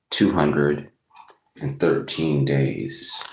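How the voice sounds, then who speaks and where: Audible room echo surrounds a man who speaks very slowly in a very deep, low pitch. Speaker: recovery vlogger. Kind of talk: casual daily reflection monologue.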